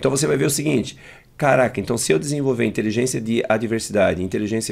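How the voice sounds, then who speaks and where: Lively intonation marks a man's speech at a medium pitch. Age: 50s. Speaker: emotional intelligence trainer and speaker; emotional intelligence trainer, speaker. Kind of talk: interview. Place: studio. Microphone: studio mic.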